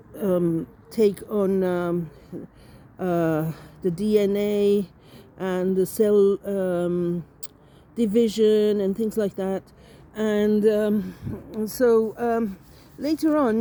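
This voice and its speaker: Female voice at medium pitch with ordinary pitch variation. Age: 60s. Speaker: artist. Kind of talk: personal storytelling. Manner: halting, many fillers.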